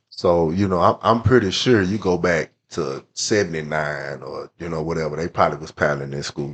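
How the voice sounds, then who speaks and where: A man speaks in an American accent. His very deep, low pitch carries vocal fry. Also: ordinary pitch variation, moderate pace, hardly any pauses. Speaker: youth sports coach and mentor. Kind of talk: casual chat.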